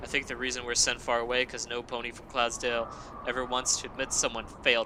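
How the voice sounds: This is a natural reading voice. It is heard throughout the clip.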